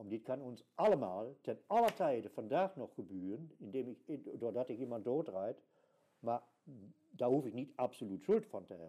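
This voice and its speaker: A man talks at a moderate pace and medium pitch, with a dark, mellow tone. His pitch swings very widely and his loudness rises and falls a lot. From Germany. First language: German (speaking Dutch). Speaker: archaeologist, mental health patient. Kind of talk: interview. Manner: halting.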